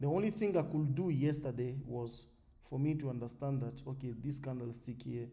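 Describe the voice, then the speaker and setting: Somewhat breathy and at a medium pitch, a man speaks with ordinary pitch variation as room echo is audible. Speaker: forex trading educator. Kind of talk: tutorial. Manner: fast.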